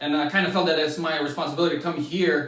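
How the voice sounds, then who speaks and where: In a Lithuanian accent, a man speaks with fairly even intonation, with audible room echo and noticeable background noise. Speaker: former college basketball player. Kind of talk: interview. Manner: halting.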